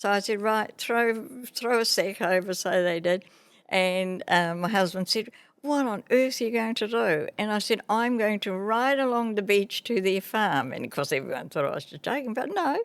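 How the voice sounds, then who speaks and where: With a New Zealand accent, a woman speaks at medium pitch and a moderate pace, her intonation lively, on a very clean recording with a silent background. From New Zealand, Māori. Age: 80s+. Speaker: retired teacher and businesswoman. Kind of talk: podcast interview answer.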